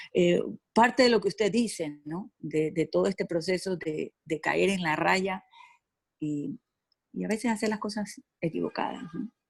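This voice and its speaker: The delivery is fairly slow, with lively intonation and vocal fry. The sound is dry and close, with no echo. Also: woman, medium pitch for a woman. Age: 60s. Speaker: participant. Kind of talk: audience question.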